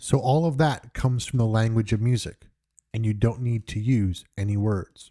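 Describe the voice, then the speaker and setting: A man's dark, mellow tone with an American accent and ordinary pitch variation, in a very clean recording with a silent background. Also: medium pitch for a man, moderate pace, dry, close sound with no echo. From New York. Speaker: music podcast host. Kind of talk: podcast monologue. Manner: halting, with frequent repetitions.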